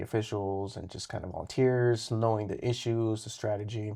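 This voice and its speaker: A man with an American accent speaks in a normal speaking voice at a fairly quick pace. His intonation is fairly even, and the recording is very clean, with a silent background. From Colorado, Fort Morgan and Greeley. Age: 30s. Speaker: state politician. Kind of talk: interview.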